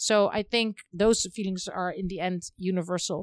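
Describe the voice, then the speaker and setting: A woman with a Dutch accent talks at a medium pitch with fairly even intonation, in a very clean recording with a silent background and a dry, close sound with no echo. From Netherlands. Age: 40s. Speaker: film director. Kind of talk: interview. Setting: in person.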